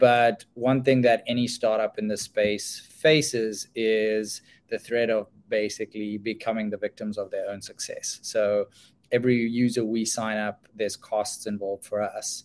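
A man at medium pitch speaks at a moderate pace in a flat monotone. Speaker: startup representative. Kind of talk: work update presentation on a call. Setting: video call.

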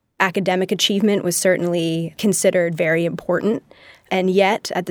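Speaking with an American accent, a woman has a plain, everyday voice, a fairly low pitch and fairly even intonation. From Massachusetts, US. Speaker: designer and researcher. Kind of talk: interview. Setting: studio.

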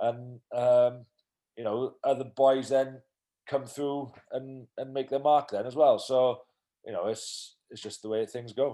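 In a Welsh accent, a man speaks fairly slowly with a dark, mellow tone, medium pitch, and monotone, flat intonation. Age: 30s. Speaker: professional rugby player. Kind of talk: casual interview. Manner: hesitant, many fillers.

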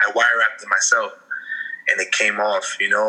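There's noticeable background noise as a man with an American accent talks at a fairly quick pace. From Freeport, Long Island, New York. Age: 20s. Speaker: hip hop artist. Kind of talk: interview. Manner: casual with fillers.

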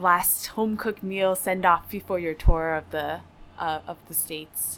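In an American accent, a woman talks at a moderate pace in a normal speaking voice, at a medium pitch with ordinary pitch variation. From US Northeast (New Jersey). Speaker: college radio host. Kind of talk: casual interview. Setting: music venue.

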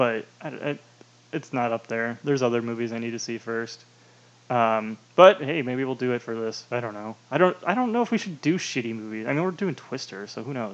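An unremarkable speaking voice from a man, medium in pitch, with ordinary pitch variation and a fairly quick pace. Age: 20s. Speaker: podcast co-host. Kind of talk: casual chat.

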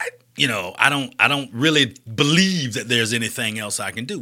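In an Alabama accent, this bright, sharp voice moves at a moderate pace with very wide pitch swings. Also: man. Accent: Southern US, Alabama. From US South, Birmingham, Alabama. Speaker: community nonprofit leader and speaker. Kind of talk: casual interview.

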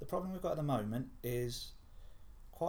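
A somewhat breathy man at a moderate pace with ordinary pitch variation and audible room echo. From Essex, Clacton. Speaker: football fan and columnist. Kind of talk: casual sports chat.

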